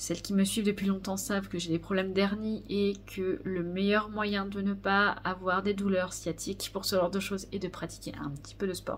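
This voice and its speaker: Speaking at a moderate pace with hardly any pauses, a woman holds a medium pitch in a monotone, flat intonation. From Normandy, France. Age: 30s. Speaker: knitting podcaster. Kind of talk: casual vlog monologue. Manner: hesitant, many fillers.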